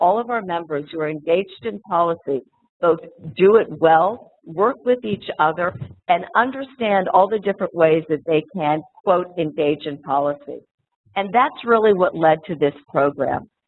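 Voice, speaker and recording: Here a woman speaks at a fairly low pitch. Her intonation is lively and her pace moderate. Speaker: moderator and foundation association president. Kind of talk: panel introduction. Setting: conference room with live audience, webcast.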